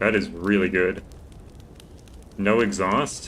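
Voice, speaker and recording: Audible room echo surrounds a man's fairly low voice. He speaks at a fairly slow pace. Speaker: gaming streamer. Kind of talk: live gameplay commentary.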